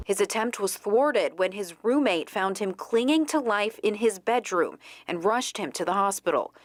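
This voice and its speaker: On a very clean recording with a silent background, a woman with a plain, everyday voice speaks at a moderate pace with lively intonation and a fairly high pitch. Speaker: TV news anchor and reporter. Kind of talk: TV news anchor and reporter delivery.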